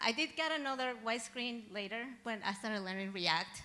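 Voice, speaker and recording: A woman speaks in a Spanish accent. Her pitch is fairly high. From Mexico. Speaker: software engineering graduate. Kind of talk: graduation presentation.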